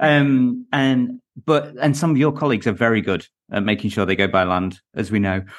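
A man with an unremarkable speaking voice talks at a medium pitch and moderate pace. His intonation is lively while his loudness stays very even. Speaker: podcast co-host. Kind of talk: interview.

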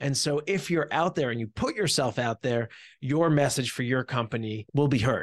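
A man with an unremarkable speaking voice, medium pitch and ordinary pitch variation, at a moderate pace, in dry, close sound with no echo over a quiet background. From US Northeast (New Jersey). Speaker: startup CEO. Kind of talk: interview.

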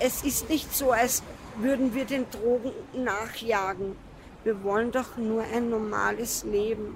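The speaker goes at a very slow pace against noticeable background noise. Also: woman, fairly high pitch for a woman. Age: 20s. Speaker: homeless drug user. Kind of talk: interview.

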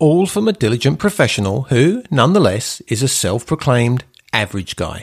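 His voice is somewhat breathy and medium in pitch for a man. He talks at a fairly quick pace, and his pitch swings very widely. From England. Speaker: real estate agent. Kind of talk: scripted narration.

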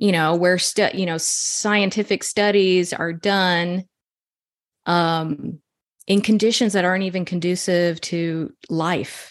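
The speaker talks at a very slow pace with fairly even intonation. The background is quiet. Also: woman, fairly low pitch for a woman. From Texas. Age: 40s. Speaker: chicken keeper and homeopathy user. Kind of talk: interview.

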